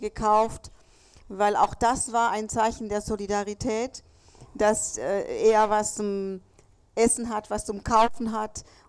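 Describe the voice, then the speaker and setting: This woman speaks at a very slow pace in a fairly high pitch. Her intonation stays fairly even. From Chile. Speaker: contemporary witness. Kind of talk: panel talk. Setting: café event with audience.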